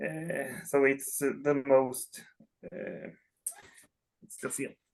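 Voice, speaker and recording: Speaking with a Swedish accent at a very slow pace, a man with a fairly high pitch keeps fairly even intonation while his loudness swings widely. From Sweden. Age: 30s. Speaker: collector. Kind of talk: interview. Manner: halting.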